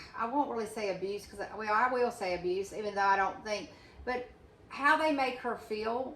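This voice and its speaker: A woman's fairly high voice amid audible room echo and noticeable background noise. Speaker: channel host, friend and advocate. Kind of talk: casual chat. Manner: loud; fast.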